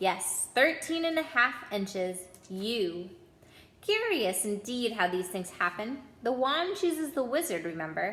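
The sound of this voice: Big pitch swings in a woman's fairly high, fairly bright put-on character voice, at a slow pace with audible room echo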